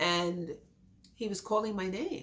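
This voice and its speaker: A woman talks at a fairly slow pace. Her medium-pitched voice has ordinary pitch variation. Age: 60s. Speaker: accident survivor. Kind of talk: testimony.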